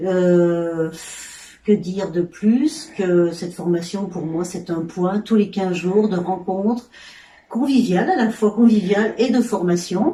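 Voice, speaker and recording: A woman speaks very slowly at a medium pitch, with ordinary pitch variation. Noticeable background noise sits behind her. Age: 60s. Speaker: sewing trainee. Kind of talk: testimony. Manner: halting.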